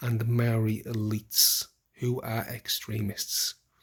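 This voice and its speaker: A man speaks with a somewhat breathy voice. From UK. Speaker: political commentator vlogger. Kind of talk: casual monologue. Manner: halting, repeats words; impassioned.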